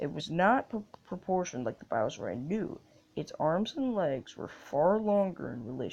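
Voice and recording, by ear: With lively intonation, someone is reading aloud in a natural voice.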